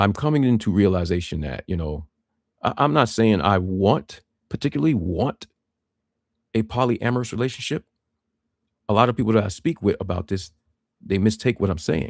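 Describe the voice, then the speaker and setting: On a very clean recording with a silent background and a dry, close sound with no echo, a man with a fairly low pitch talks at a fairly quick pace with lively intonation and long, frequent pauses. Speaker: livestreamer sharing personal insights. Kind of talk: solo livestream monologue. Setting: live stream. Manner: hesitant, with fillers.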